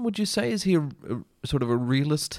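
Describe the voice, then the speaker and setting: A man speaks with an Australian accent, his pitch swinging very widely. The recording is very clean, with a silent background. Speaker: actor. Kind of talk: casual chat.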